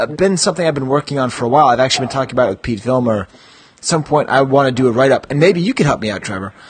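At a very fast pace, a man talks with lively intonation, a medium pitch and a slightly husky edge.

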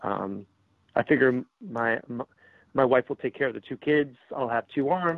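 This man has an ordinary speaking voice at a medium pitch. He speaks at a fairly slow pace with ordinary pitch variation. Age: 40s. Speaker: toy collector and social media contributor. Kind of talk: interview.

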